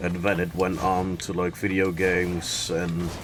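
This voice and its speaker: Music plays in the background as a man with a Dutch accent speaks. His voice is very deep and low, and his pace is fairly slow. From Netherlands. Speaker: video game streamer. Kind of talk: casual chat.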